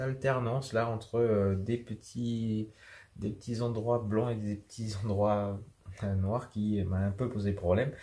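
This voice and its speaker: Very slowly, a man with a fairly low pitch speaks in a dark, mellow, somewhat breathy tone. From New Caledonia. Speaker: drawing teacher. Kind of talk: tutorial. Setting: at home on a sofa. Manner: halting.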